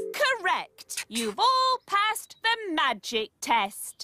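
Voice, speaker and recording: A female-sounding cartoonish character voice speaks at a very slow pace with an extremely high pitch. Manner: prim, precise.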